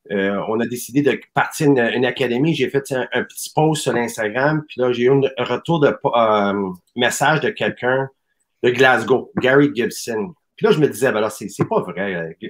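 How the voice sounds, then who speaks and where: At a fairly slow pace, a man with a medium pitch talks with lively intonation over a quiet background. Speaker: soccer academy president; guest. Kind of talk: casual chat. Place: home room.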